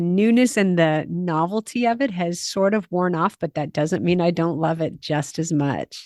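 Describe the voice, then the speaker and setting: Here a woman with a normal speaking voice talks in an American accent at a moderate pace. Her pitch varies in an ordinary way, and the background is quiet. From USA. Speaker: podcast host and Camino guide. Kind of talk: podcast interview.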